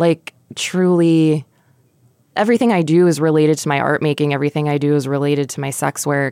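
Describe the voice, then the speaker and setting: A woman's very deep, low voice, dark and mellow in tone, at a fairly quick pace. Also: ordinary pitch variation. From Miami, Florida, of Puerto Rican descent. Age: 30s. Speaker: artist and sex worker. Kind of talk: casual interview chat. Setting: studio.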